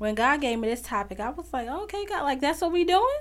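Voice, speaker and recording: A woman's voice swings very widely in pitch, recorded very cleanly against a silent background. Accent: American. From Chicago. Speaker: podcast host. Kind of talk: faith-based motivational monologue.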